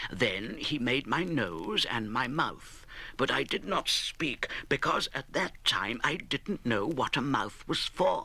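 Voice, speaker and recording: At a fairly slow pace, a man uses a bright, sharp tone with vocal fry and very wide pitch swings. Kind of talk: audiobook reading of a classic children's novel.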